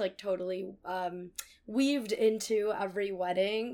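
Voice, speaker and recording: A woman with a Californian accent speaks at medium pitch. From California, Bay Area (Cupertino). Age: 20s. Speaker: college radio host. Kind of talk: casual chat.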